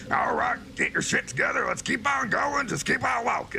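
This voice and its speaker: A man puts on a gravelly character voice at an extremely high pitch, in a Southern accent. He talks at a moderate pace over clear background noise. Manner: gruff, commanding.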